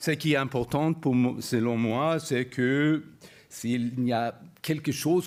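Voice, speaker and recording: Speaking at a very slow pace, a man uses a medium pitch with ordinary pitch variation. He has a non-native accent. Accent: non-native French, imperfect. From Sweden. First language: Swedish (speaking French). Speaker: university professor. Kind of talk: lecture. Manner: halting, many hesitations.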